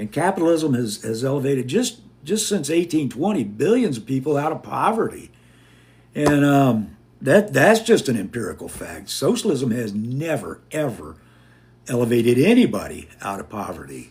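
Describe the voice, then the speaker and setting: A somewhat breathy man with an American accent, fairly high in pitch, at a moderate pace, with very wide pitch swings and big swings in loudness. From United States. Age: 60s. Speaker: podcast host and Air Force veteran. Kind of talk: live-stream casual talk with viewers. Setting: live TikTok stream. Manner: halting, repeats words.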